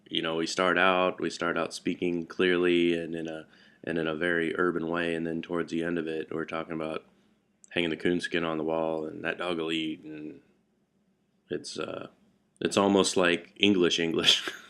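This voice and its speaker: This voice has a bright, sharp tone and an American accent, delivered in a monotone with flat intonation. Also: man, very deep, low pitch for a man. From Florida, US South. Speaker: vlogger, car mechanic. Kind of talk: casual vlog monologue. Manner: slow, drawn out; hesitant, many fillers and repeats.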